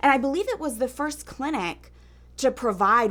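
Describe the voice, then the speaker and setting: Vocal fry runs through a woman's moderately paced speech. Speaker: TV news host. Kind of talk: TV interview questions.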